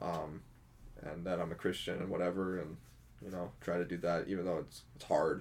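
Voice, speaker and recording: Amid audible room echo, a man with a very deep, low pitch and a Canadian accent speaks at a moderate pace in a monotone, flat intonation. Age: 20s. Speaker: hospital porter and drummer. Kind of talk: casual chat.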